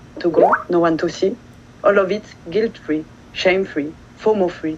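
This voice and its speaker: A woman with a French accent, moderate pace and ordinary pitch variation, plus noticeable background noise. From France. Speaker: poet. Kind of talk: poetry reading.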